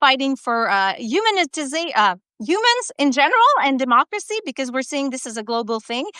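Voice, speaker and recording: Raising and projecting her high voice, a woman with a French Canadian accent speaks at a fairly quick pace. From Quebec, Canada. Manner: hesitant, many filler sounds.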